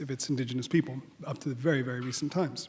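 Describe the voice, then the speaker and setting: With a slight Australian accent, a man speaks at a fairly high pitch in a somewhat breathy voice with fairly even intonation. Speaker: head of architecture school. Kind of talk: welcome speech. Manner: halting, many fillers.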